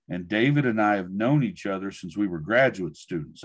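Over a quiet background, a man with a fairly low voice speaks with lively intonation. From US, rural Oklahoma (Mustang); Oklahoma. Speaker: education professor. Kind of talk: talk and Q&A in an online webinar. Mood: relaxed, good-humoured. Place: office. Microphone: video call.

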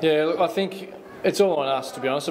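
A man speaks very fast while light background noise hums behind him. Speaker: basketball coach. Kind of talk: interview answer. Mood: disappointed after a loss. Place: hall.

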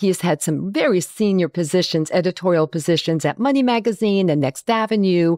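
A woman with a normal speaking voice talks at a moderate pace, her pitch fairly low and her intonation lively. The sound is dry and close with no echo, and the recording is very clean with a silent background. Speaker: podcast host. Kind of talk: podcast interview. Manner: friendly, upbeat.

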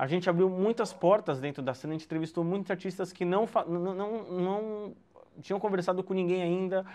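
A man speaks with a dark, mellow tone at a high pitch. His intonation is fairly even. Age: 20s. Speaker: journalist and rap channel presenter; journalist, presenter. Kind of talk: online lecture. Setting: home, video call. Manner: halting, with many fillers. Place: home room.

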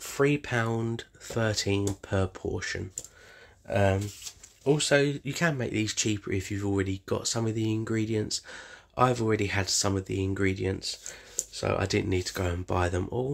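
A man talks at a fairly slow pace with ordinary pitch variation against a quiet background. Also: fairly low pitch for a man. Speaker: home cook vlogger. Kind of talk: casual vlog chat. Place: kitchen. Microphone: phone near.

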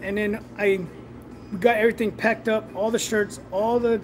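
A man's high-pitched, monotone voice with flat intonation at a moderate pace, over music in the background. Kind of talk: casual live stream chat. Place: workshop. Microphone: phone near.

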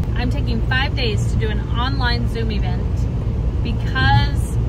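A woman speaks at a fairly slow pace in a dry recording with no echo and loud background noise. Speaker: family vlogger. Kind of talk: casual vlog chat. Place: car. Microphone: phone near.

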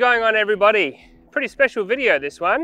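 Very fast male speech with a bright, sharp tone, dry sound with no echo and a quiet background. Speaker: vehicle vlogger. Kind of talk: casual vlog chat. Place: forest.

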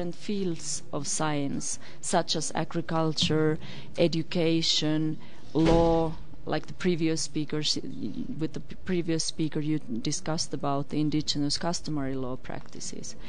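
A woman's very deep, low voice comes through dry, without echo, over light background noise. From Finland. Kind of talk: interview. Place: studio. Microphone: studio mic.

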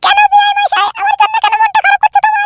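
The cartoonish character voice is squeaky and extremely high, with monotone, flat intonation, very even loudness and a fairly quick pace in a dry, close sound with no echo. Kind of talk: comic village farce.

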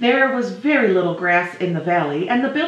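A natural reading voice carries lively intonation.

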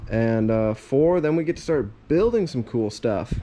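The speech comes at a very slow pace. Its pitch varies in an ordinary way. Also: man. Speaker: DIY vlogger. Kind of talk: casual vlog chat. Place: workshop. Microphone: phone near.

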